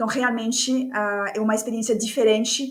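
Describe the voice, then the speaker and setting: In a room with audible echo, a woman speaks at a fairly slow pace with a fairly high pitch. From France. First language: French (speaking Portuguese). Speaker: course facilitator and speaker. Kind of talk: podcast interview.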